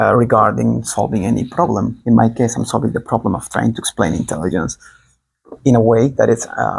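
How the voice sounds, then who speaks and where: Speaking fairly quickly, a man talks with a Spanish accent. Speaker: online teacher. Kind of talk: improvised lecture. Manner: fast; animated.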